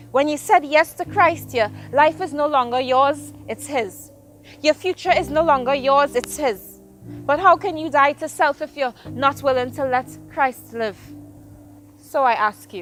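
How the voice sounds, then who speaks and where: A woman's high voice with lively intonation and big swings in loudness, at a fairly slow pace with long, frequent pauses, over music in the background. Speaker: spoken word poet. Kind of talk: spoken word poetry performance.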